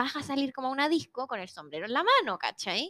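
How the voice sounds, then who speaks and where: Speaking with a Chilean accent, a woman goes at a fairly quick pace with a high pitch and lively intonation, in a dry, close sound with no echo. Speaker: facial yoga instructor and influencer. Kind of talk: casual chat.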